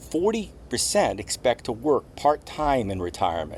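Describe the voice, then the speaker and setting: Using very wide pitch swings and vocal fry, a man with an American accent speaks at a fairly slow pace. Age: 60s. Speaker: retiree vlogger. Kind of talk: scripted talk to camera.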